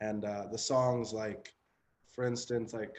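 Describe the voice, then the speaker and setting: Monotone, flat intonation in a western Canadian accent. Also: man. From western Canada (Chilliwack, British Columbia). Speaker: rapper. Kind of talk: interview. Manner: casual, many fillers.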